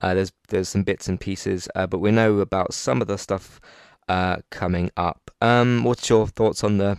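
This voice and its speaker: Speaking with a British accent, a man uses a fairly low pitch and fairly even intonation at a moderate pace. The sound is dry and close with no echo, and the background is quiet. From UK. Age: 20s. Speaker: podcast host. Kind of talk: casual chat.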